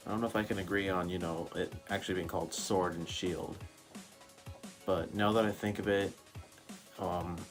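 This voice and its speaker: Music plays in the background as a man talks in a very deep, low voice at a moderate pace. His intonation is monotone and flat, broken by long, frequent pauses. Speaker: gaming YouTuber. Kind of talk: casual reaction talk to camera. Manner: stuttering, hesitant.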